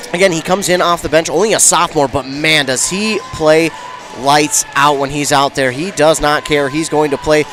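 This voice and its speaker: With music in the background, a man talks in an American accent. His pitch is fairly high, with ordinary variation. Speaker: radio sports play-by-play announcer. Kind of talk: pregame sports broadcast commentary.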